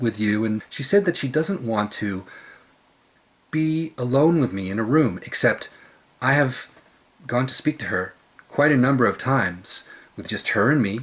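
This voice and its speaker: Lively in intonation, a man at medium pitch speaks at a moderate pace. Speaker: video blogger. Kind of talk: personal monologue vlog. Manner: loud.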